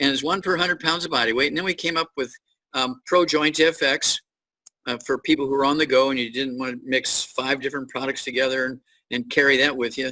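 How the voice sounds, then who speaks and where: This man has a bright, sharp tone and a fairly high pitch, with ordinary pitch variation. He speaks at a fairly quick pace in a dry, close sound with no echo. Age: 80s+. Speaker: doctor and supplement company founder. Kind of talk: interview.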